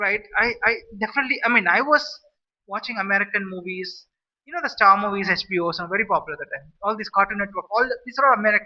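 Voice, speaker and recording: A man's high-pitched voice in an Indian accent, very fast and lively in intonation. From India, Madurai, Tamil Nadu. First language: Saurashtra. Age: 40s. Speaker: vlogger. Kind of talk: casual monologue. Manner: halting, many restarts.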